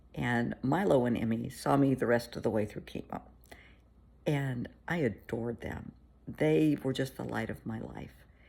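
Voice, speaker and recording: A woman's very deep, low voice with a warm tone, lively intonation and a moderate pace. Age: 60s. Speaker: therapist. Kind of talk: casual chat. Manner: warm, conversational.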